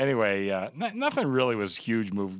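This man has an ordinary speaking voice, pitched fairly low. He talks at a fairly quick pace against a quiet background. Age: 60s. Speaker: sportsbook director. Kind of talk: casual sports talk. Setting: studio.

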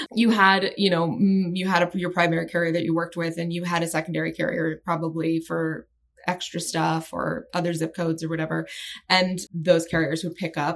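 With vocal fry in her voice, a woman talks at a fairly quick pace in a fairly even intonation. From Maryland (Annapolis). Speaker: business journalist. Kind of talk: casual interview.

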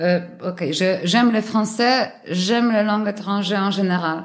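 This woman speaks with a Polish accent at a fairly high pitch. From Poland, Warsaw. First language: Polish (speaking French). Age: 30s. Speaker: air traffic controller, language learner. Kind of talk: interview. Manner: halting, frequent repetitions.

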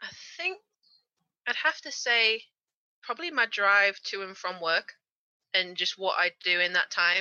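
With a Yorkshire accent, a woman speaks at a fairly slow pace and medium pitch, her intonation lively and broken by long, frequent pauses. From Yorkshire, northern England. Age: 20s. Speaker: car body repair technician. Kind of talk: interview. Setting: remote call.

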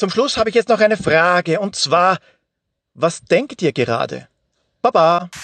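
Pausing long and often, a man with an Austrian accent talks at a fairly slow pace and a high pitch with lively intonation, the sound dry and close with no echo. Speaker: podcaster and listener. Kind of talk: voice message.

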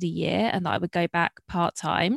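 Fairly even intonation at a moderate pace in a southern English accent, with a dry, close sound, no echo, and a very clean recording over a silent background. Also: woman. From southeast England. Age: 30s. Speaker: entrepreneur. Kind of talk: casual interview.

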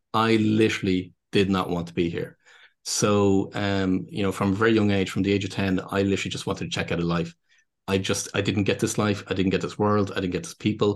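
With a Dublin accent and a fairly low pitch, a man talks at a fairly quick pace over a quiet background. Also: ordinary pitch variation. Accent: Irish (Dublin). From Ireland, Dublin. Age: 50s. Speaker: business consultant and speaker. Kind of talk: casual interview conversation. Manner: halting, with many repeated words.

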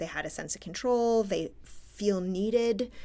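A woman with an unremarkable speaking voice talks at a fairly slow pace, medium in pitch with ordinary pitch variation. The recording is very clean and the background silent. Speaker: academic researcher and podcast co-host. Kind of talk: casual chat.

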